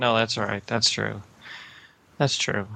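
Here a man talks at a medium pitch in a bright, sharp tone. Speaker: caller.

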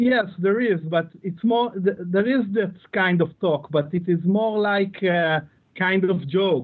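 A man's high pitch in an Israeli accent, with very even loudness, ordinary pitch variation and a very slow pace. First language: Hebrew. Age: 30s. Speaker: listener calling in. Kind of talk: call-in conversation.

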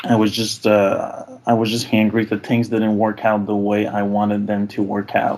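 Against noticeable background noise, a man speaks at a fairly low pitch and a moderate pace in a monotone, flat intonation. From Quebec. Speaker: caller. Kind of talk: call-in advice conversation. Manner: halting, repeats words.

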